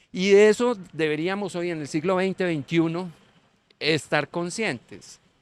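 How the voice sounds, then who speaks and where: A man with a high pitch talks at a fairly slow pace with lively intonation. The recording is very clean, with a silent background and a dry, close sound with no echo. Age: 60s. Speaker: teacher, panel guest. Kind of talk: panel discussion. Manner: halting, with fillers.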